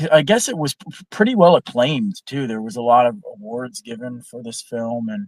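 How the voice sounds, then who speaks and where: An unremarkable speaking voice with a Canadian accent, fairly quick and with lively intonation, dry and close with no echo. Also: man. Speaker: film discussion guest. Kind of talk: casual chat.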